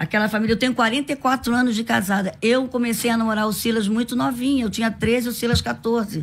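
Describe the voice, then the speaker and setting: Fairly quick and fairly high-pitched, a woman speaks with a somewhat breathy voice, fairly even intonation and very even loudness. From Brazil, Rio de Janeiro (from age 4). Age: 60s. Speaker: pastor and women's leader; pastor. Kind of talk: radio interview. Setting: radio studio. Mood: earnest, emotional storytelling. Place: studio. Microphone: studio mic.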